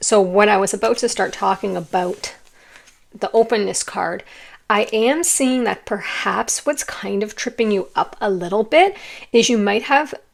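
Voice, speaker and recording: A woman's raspy, put-on character voice, fairly high in pitch, with ordinary pitch variation and a moderate pace. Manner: speaking loudly, shouting.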